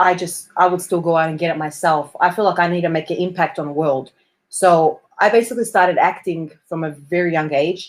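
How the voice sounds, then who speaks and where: In an Australian accent, a woman speaks at a fairly quick pace with a fairly low pitch and fairly even intonation on a very clean recording with a silent background. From Australia, Melbourne. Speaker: performer and actress. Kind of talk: interview conversation. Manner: hesitant, many fillers.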